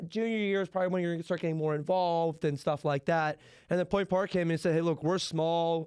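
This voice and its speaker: Against a quiet background, a man talks at a high pitch with fairly even intonation. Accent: Pittsburgh. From Pittsburgh area, western Pennsylvania. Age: 20s. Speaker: college student podcaster. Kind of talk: casual chat.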